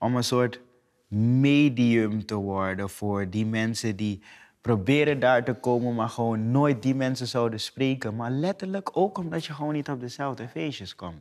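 Here a man speaks at a fairly slow pace. His intonation is lively, and the background is quiet. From Suriname. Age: 20s. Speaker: actor. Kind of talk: casual conversation. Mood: calm, earnest, sometimes smiling. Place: studio.

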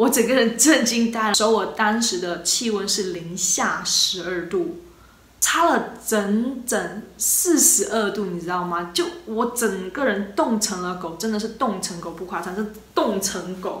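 In an animated tone, a woman talks at a fairly slow pace with hardly any pauses, and audible room echo surrounds her. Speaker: travel vlogger. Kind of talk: casual vlog monologue. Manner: animated, chatty. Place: home room. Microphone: phone near.

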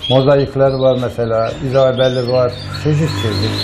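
The voice moves at a fairly slow pace with fairly even intonation, over noticeable background noise. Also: man. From Sivas, central Anatolia, Turkey; Turkey. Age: 60s. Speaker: retired blacksmith and canary breeder. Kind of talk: casual interview. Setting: bird house. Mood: calm, nostalgic. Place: shop. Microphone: lapel.

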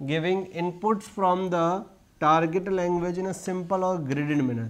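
This man's voice sits at a high pitch, moving at a fairly slow pace with ordinary pitch variation. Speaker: teacher. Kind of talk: lecture. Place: classroom. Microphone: lapel.

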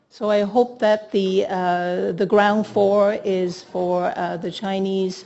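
Slow and dark, a woman's mellow voice sits at medium pitch with vocal fry and little pitch movement.

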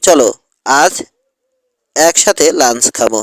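A man uses a put-on, high-pitched character voice, recorded with a dry, close sound and no echo. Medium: read story. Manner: earnest, grave.

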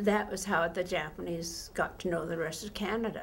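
A somewhat breathy woman's voice with fairly even intonation over light background noise. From Canada. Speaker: former nurse. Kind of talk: oral history interview answer. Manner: hesitant, reflective. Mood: reflective, calm. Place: studio.

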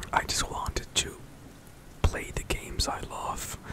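A man whispering, soft-spoken and very slow, with a dry sound free of echo and light background noise. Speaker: streamer, vlogger. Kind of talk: casual vlog chat. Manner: soft close-mic whisper. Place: home room. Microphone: studio mic.

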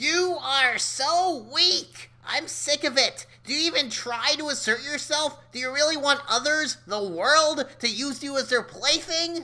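A put-on character voice, high-pitched and fairly slow. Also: hardly any pauses. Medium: audio drama. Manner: aggressive, mocking, impatient; brash, gleeful.

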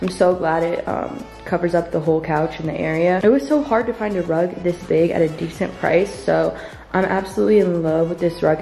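A woman speaks at a fairly low pitch. Faint music plays behind her. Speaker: vlogger. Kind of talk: casual vlog chat. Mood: cheerful, laughing. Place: home room. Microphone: phone near.

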